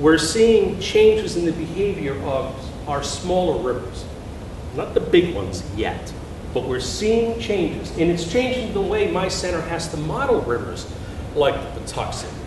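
Noticeable background noise and audible room echo surround the recording. A man speaks at a fairly slow pace. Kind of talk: lecture. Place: hall.

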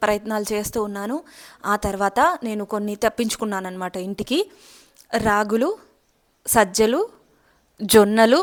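A woman speaks in a normal speaking voice, fairly high in pitch, with fairly even intonation and a dry, close sound with no echo. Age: 20s. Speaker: YouTuber sharing health and beauty tips. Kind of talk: casual vlog monologue.

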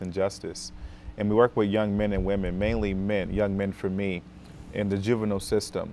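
Light background noise sits behind a man's voice. He speaks at a fairly quick pace and a fairly low pitch. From Rochester, New York, US. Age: 30s. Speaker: school social worker. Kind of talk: talk show interview. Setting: TV studio. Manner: many fillers (um, uh). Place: studio.

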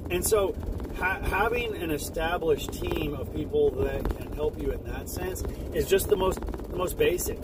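Loud background noise surrounds a man whose voice is dry, with no echo. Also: moderate pace. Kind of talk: casual vlog chat. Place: car. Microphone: phone near.

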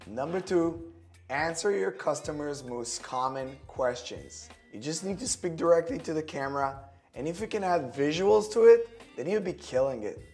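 Faint background music under a man's moderately paced speech. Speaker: marketing coach. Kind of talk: tips short video to camera. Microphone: lapel.

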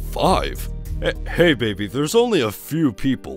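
Clear music plays in the background. Over it, a man uses a put-on character voice at a moderate pace. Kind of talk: comic dub dialogue.

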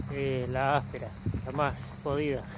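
A man's dry, echo-free voice comes through amid loud background noise. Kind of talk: casual vlog chat. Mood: relaxed, upbeat. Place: open country. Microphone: phone near.

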